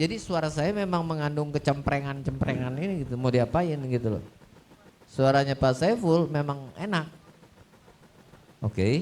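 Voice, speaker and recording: Against noticeable background noise, a man with a shrill, fairly high voice speaks at a moderate pace with ordinary pitch variation and long, frequent pauses. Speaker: audio system expert. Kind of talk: Q&A talk on stage. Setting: stage with audience at showcase event. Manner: animated.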